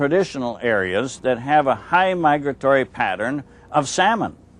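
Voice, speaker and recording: Against a quiet background, a man with a fairly high pitch uses lively intonation in an unremarkable speaking voice. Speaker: storyteller and fisherman. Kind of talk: storytelling talk to visitors.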